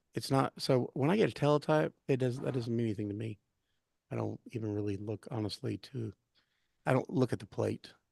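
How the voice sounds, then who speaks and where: A man mumbles at a fairly quick pace in a dark, mellow, somewhat breathy tone. The sound is dry and close with no echo. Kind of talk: casual chat. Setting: live stream. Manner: mumbling. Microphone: too quiet.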